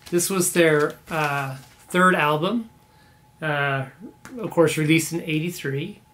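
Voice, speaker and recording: A man with a Canadian accent talks fairly slowly at a fairly high pitch with fairly even intonation. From Canada, born in Belfast. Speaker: vinyl record collector YouTuber. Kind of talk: casual video monologue about records. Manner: casual with many fillers. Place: home room.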